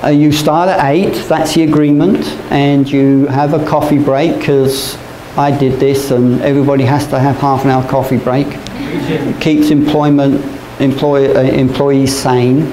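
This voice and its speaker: A man talks at a fairly slow pace in a flat monotone with very even loudness, over noticeable background noise. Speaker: teacher. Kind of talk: lecture. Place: classroom. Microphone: camera far.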